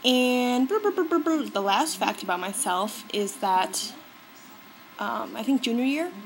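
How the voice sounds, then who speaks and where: A woman with an American accent, lively intonation and a moderate pace. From US. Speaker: beauty vlogger. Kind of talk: casual vlog talk. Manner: animated.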